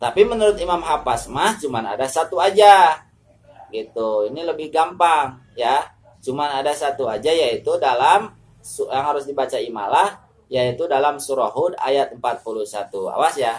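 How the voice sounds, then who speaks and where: The man's voice sits at a fairly high pitch and carries lively intonation. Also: moderate pace. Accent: West Javanese. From West Java, Sundanese. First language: Sundanese (speaking Indonesian). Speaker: Quran recitation teacher. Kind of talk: religious tutorial. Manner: halting.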